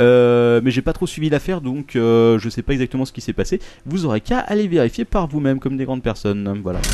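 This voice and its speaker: This man has a dark, mellow tone at medium pitch, speaking at a fairly quick pace with lively intonation. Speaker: podcast host. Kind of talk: casual banter among friends, joking podcast chat. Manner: jokey, bantering, animated.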